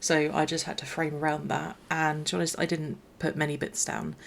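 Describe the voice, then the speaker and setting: A woman speaks quietly in a very deep, low voice, recorded very cleanly against a silent background. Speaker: gaming YouTuber. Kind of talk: gameplay commentary voiceover. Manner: quiet, low energy; hesitant, many fillers and restarts.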